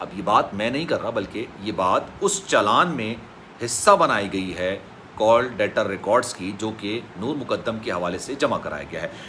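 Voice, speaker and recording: A man speaks at a medium pitch with ordinary pitch variation. He leaves hardly any pauses. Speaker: YouTube news commentator. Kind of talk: news commentary. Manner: emotional.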